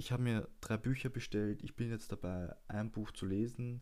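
A man with a fairly low pitch and a normal speaking voice, at a fairly slow pace. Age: 20s. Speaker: podcast host. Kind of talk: casual monologue. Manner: casual and loose.

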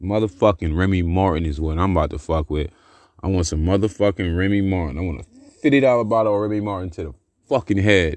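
Against a quiet background, a man talks at a very fast pace. His voice is very deep and low, with ordinary pitch variation. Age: 30s. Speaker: podcaster. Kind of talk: casual monologue.

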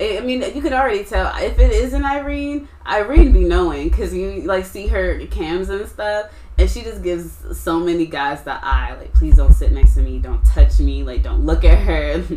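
A woman talks at a moderate pace with hardly any pauses, her loudness swinging widely. Noticeable background noise sits behind her. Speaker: podcast host. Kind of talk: casual chat.

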